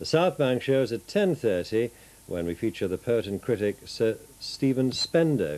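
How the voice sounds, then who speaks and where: A man with a warm tone talks at a fairly slow pace and medium pitch, his voice moving in very wide pitch swings. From northeast England. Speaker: television continuity announcer. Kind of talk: TV weather report within closedown announcements. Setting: TV studio. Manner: smooth, warm, measured; friendly, chatty, slightly informal. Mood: warm, friendly late-night tone.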